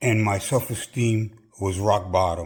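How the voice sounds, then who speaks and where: Speaking at a very slow pace, a man has a fairly low pitch, ordinary pitch variation and a somewhat breathy sound. The recording is very clean, with a silent background. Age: 70s. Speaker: personal trainer. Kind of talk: personal testimony.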